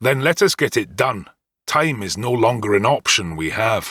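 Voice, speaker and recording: A man does a put-on character voice at medium pitch. He growls as he speaks. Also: moderate pace, very clean recording, silent background. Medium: read story. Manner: dry, confident.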